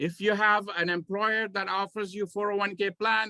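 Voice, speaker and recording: A man's raised, projected voice, high-pitched with a bright, sharp tone, at a moderate pace. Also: dry, close sound with no echo. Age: 60s. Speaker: tax accountant. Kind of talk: Q&A session.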